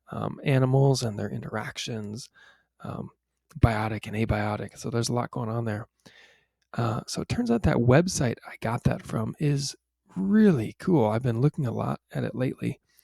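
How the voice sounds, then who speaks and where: A quiet man speaks at a moderate pace in a medium pitch, his dark, mellow tone carrying lively intonation in a dry, close sound with no echo. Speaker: science teacher. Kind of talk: remote class video tutorial. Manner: casual, with fillers.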